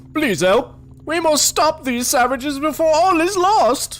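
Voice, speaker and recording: A put-on character voice with a high pitch moves at a moderate pace over light background noise. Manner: pleading, dramatic.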